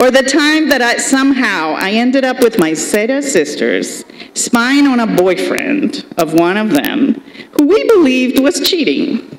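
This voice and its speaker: Fairly slow and high-pitched, a woman speaks with very wide pitch swings over noticeable background noise. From Colombia. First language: Spanish. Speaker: state senator, commencement speaker. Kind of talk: commencement speech.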